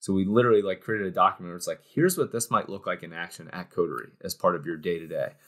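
A man with a Midwestern American accent rushes at a very fast pace with hardly any pauses and big swings in loudness, over a quiet background. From Cincinnati, Ohio, US Midwest; Ohio. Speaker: startup co-founder; guest. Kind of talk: interview conversation. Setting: studio. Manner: animated. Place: office. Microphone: webcam.

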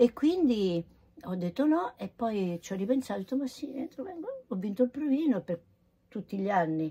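This woman's voice sits fairly high and swings very widely in pitch. She leaves long, frequent pauses. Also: moderate pace. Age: 80s+. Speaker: voice actress; voice actress recalling her career. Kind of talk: casual chat. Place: home room. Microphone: phone near.

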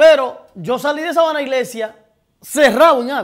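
A man speaks with a Dominican accent against a quiet background. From Dominican Republic. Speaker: TV talk show host. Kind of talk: live political commentary with call-ins. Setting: TV studio, live broadcast. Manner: animated, profane and outspoken. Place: studio.

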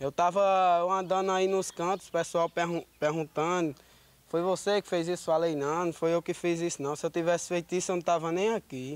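Recorded dry with no echo, a man with a high pitch talks at a moderate pace with fairly even intonation. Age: 20s. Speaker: accused young man; interviewee. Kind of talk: street interview. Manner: halting. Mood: earnest, defensive. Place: street. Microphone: handheld.

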